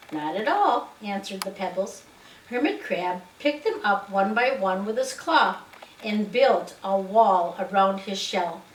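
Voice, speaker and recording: The speaker has an American accent and lively intonation. The pace is fairly slow, and background noise is noticeable. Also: woman. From United States, Wisconsin. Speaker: grandmother reading to a child. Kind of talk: children's storybook reading.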